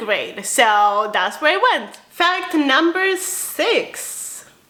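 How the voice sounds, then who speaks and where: Over noticeable background noise, a woman raises and projects her bubbly, upbeat voice, her pitch swinging very widely. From Romania, then Spain from age 7-8. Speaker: spiritual lifestyle vlogger. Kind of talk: casual personal vlog.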